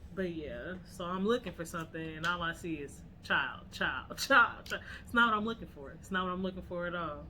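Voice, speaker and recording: Audible room echo around a woman speaking at a moderate speed. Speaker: podcast co-host. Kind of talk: casual chat.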